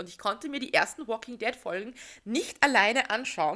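With a bright, sharp tone and lively intonation, a woman talks at a moderate pace in a fairly high voice. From Austria. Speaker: podcast host. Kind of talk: casual chat.

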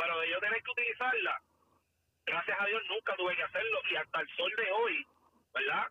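A man talks at a fairly quick pace. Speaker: former police officer, firearms instructor. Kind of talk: casual chat.

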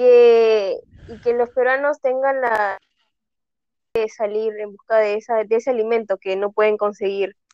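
Speaking fairly slowly at a fairly high pitch, a woman keeps a flat, monotone intonation while her loudness swings widely. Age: 20s. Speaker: graphic design student. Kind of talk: casual interview. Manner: halting, many repetitions.

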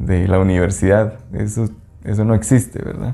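In a Guatemalan accent, a man speaks at a moderate pace with a fairly low pitch, a dark, mellow tone and fairly even intonation. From Guatemala, Quetzaltenango (Xela). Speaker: small business owner, food and sustainability advocate. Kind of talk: interview. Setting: outdoors by a lake. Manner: halting, with fillers and repetitions.

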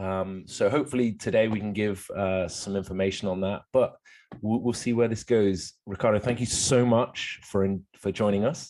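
Over a quiet background, a man with a fairly low voice talks at a moderate pace with ordinary pitch variation. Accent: English. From England. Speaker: podcast host, chiropractor. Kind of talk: interview.

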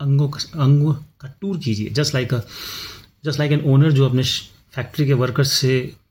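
Somewhat breathy, a man speaks at a moderate pace in a fairly high voice. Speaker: podcast host. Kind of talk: personal storytelling monologue. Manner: reflective, with pauses.

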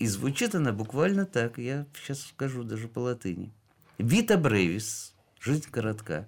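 With a medium pitch, a man speaks in very wide pitch swings. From Georgia. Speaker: heart surgeon and art collector. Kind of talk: radio interview.

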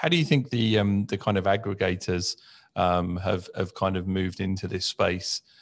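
In a British accent, a man speaks with a very deep, low pitch and fairly even intonation. His pace is moderate and the background quiet. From UK. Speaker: podcast host. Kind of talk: casual chat. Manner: halting, many fillers and repeats.

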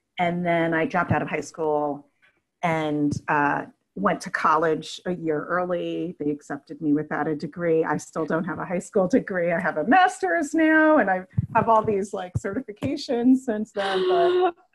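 An unremarkable speaking voice, a woman with an American accent, fairly low pitch, moderate pace and lively intonation. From New York City (Brooklyn, Queens). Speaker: yoga therapist and Reiki teacher. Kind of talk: casual interview.

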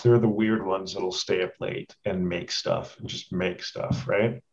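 A man with a Canadian accent speaks at a fairly slow pace in a somewhat breathy voice. His pitch sits fairly low and moves with ordinary variation. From Canada, Edmonton, Alberta. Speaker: film director. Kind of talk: casual interview.

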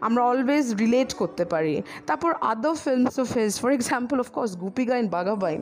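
A woman speaks in a high voice with lively intonation and very even loudness. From Delhi, India (Bengali family). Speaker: podcast speaker. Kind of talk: personal monologue.

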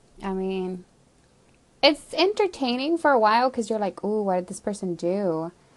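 Lively intonation marks the moderate-paced speech of a woman with an unremarkable speaking voice. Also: fairly high pitch for a woman. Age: 20s. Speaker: podcaster. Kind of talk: casual monologue. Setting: home basement.

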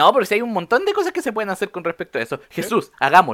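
Someone talks very fast in a Chilean accent on a very clean recording with a silent background. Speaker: podcast host. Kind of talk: casual chat.

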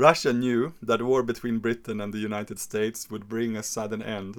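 A man speaks in a normal speaking voice with a fairly low pitch. His intonation stays fairly even. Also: very clean recording, silent background. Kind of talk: history podcast narration. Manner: measured, expository, narrating dates and quotes; playful, theatrical asides doing mock Napoleon.

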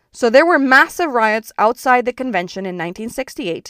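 A woman with an unremarkable speaking voice and a fairly high pitch uses lively intonation, with a dry, close sound with no echo and a very clean recording with a silent background. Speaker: podcast host and founder. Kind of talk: scripted explainer, informative monologue. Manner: informal, explanatory, conversational.

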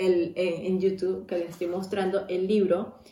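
A woman at a medium pitch, moderate pace, audible room echo and noticeable background noise. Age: 30s. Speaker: podcast host. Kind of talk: personal monologue. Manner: casual, with many fillers.

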